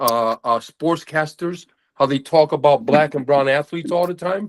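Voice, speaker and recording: An ordinary speaking voice with an American accent at a moderate pace, with a dry, close sound and no echo. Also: man. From United States. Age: 60s. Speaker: men's group member. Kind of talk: casual group discussion. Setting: video call.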